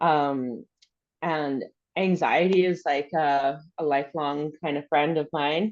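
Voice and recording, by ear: A woman speaks slowly in a low voice. Her intonation stays fairly even.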